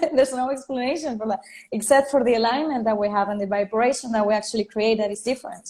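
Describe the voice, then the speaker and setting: Speaking with a Spanish accent, a woman of fairly high pitch has a dark, mellow tone and ordinary pitch variation. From Venezuela. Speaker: life and career coach. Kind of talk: interview.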